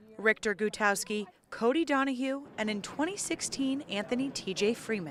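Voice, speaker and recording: The speaker has an American accent and lively intonation at a moderate pace. Noticeable background noise runs behind the voice. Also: woman, fairly high pitch for a woman. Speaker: TV news reporter. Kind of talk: TV news reporting, standups and live shots.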